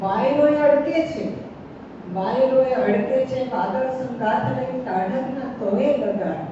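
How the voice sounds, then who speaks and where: A woman with a high pitch and lively intonation speaks over noticeable background noise. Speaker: poet. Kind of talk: poetry reading at a literary gathering.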